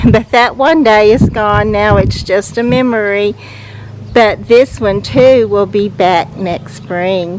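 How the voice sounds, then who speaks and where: Relaxed tone, very slow pace and ordinary pitch variation over noticeable background noise. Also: woman, medium pitch for a woman. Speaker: gardening vlogger. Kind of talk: casual garden walk-through vlog. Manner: relaxed, with frequent fillers.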